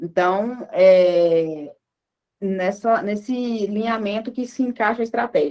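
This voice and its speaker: Here is a woman with a plain, everyday voice. Her pitch is fairly high, with lively intonation. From northern Minas Gerais, Brazil. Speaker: marketing speaker. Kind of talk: talk at an online lecture event.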